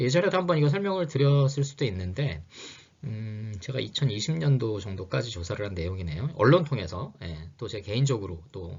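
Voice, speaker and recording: With big swings in loudness and very wide pitch swings, a man talks at a fairly quick pace in a medium pitch, somewhat breathy. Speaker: lecturer on HR and labor. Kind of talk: lecture. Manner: fast; hesitant, many fillers.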